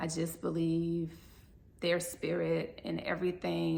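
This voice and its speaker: Fairly slow speech from a woman, audible room echo around her. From US South, New Orleans. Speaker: vlogger, expat who lived in Colombia. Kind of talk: casual monologue to camera. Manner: casual, chatty.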